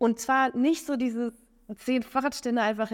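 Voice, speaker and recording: An unremarkable speaking voice moves at a moderate pace. The recording is very clean, with a silent background. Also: woman. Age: 30s. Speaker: entrepreneur and mobility consultant. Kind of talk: interview. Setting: recorded on site at a conference. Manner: many filler sounds.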